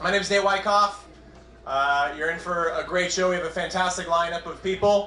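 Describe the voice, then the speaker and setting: Music plays in the background and room echo is audible as a man projects a raised, high voice with fairly even intonation at a fairly quick pace. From New England. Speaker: stand-up comedian. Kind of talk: stand-up. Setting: stage with audience.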